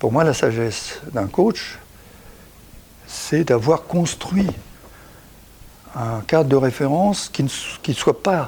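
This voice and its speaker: A man with a fairly high pitch speaks at a very slow pace, leaving long, frequent pauses. His voice sounds somewhat breathy. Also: lively intonation. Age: 70s. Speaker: executive coach and author. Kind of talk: talk on coaching practice. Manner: halting, with frequent repetitions.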